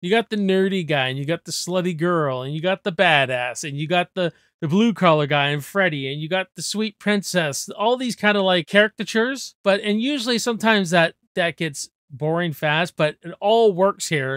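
Against a quiet background, a man speaks at a moderate pace with lively intonation, and the sound is dry with no echo. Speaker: movie reviewer. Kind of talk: casual movie discussion vlog. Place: home room. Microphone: studio mic.

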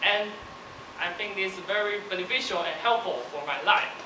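Talking at a fairly quick pace, a man with a high voice uses ordinary pitch variation over noticeable background noise. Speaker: university student. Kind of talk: speech. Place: hall.

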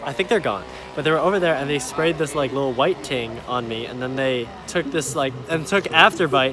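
With music in the background, a man speaks with lively intonation in a dry sound with no echo. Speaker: traveler vlogger. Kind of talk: casual vlog chat. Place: street. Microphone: phone near.

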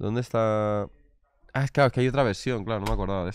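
Recorded dry with no echo, a man with a fairly low pitch talks at a fairly quick pace. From Spain. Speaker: streaming interview host. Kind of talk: casual chat on a live stream. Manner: animated. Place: shop. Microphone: studio mic.

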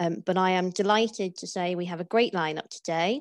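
Against a quiet background, a woman speaks at a moderate pace with fairly even intonation and a dry sound with no echo. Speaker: webinar host. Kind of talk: webinar introduction. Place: home room. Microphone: earbuds.

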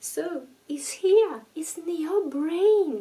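A soft-spoken woman talks at a very slow pace. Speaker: ASMR creator. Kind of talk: ASMR talk to camera about addiction. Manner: soft-spoken, gentle, relaxing. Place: home room.

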